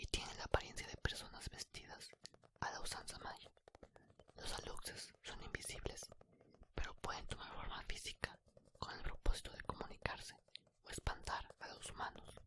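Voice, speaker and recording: Someone whispers at a moderate pace. Long, frequent pauses break up the speech. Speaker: ASMR storyteller. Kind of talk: bedtime story reading. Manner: whispered.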